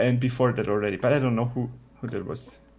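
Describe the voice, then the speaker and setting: With music in the background, a man speaks very fast at a medium pitch. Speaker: live streamer. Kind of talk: casual chat. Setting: live stream.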